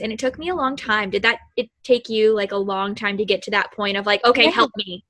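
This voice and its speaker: A woman with an American accent, fairly high in pitch, with ordinary pitch variation. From Kentucky, US South. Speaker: podcast host. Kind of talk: interview. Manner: animated; excitable.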